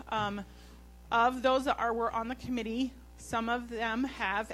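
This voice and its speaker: Over music in the background, a woman talks at a fairly slow pace with fairly even intonation and a fairly high pitch. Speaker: committee member presenting. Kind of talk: board meeting report.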